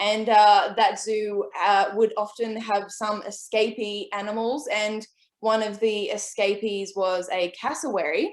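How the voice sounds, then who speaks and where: Fairly high in pitch, a woman speaks at a fairly slow pace with fairly even intonation and hardly any pauses. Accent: Australian. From Australia, New South Wales (Port Macquarie). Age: 20s. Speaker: author and illustrator. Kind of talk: online presentation with slides.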